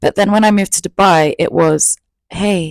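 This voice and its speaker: Speaking in a London accent with fairly even intonation, a woman comes through with a dry, close sound with no echo on a very clean recording with a silent background. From England, East London. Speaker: YouTuber. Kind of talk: storytime monologue. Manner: casual. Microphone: new mic.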